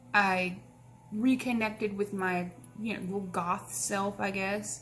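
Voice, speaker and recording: Music plays in the background. A woman with a medium pitch speaks at a very slow pace. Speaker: author. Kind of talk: casual Q&A talk to camera.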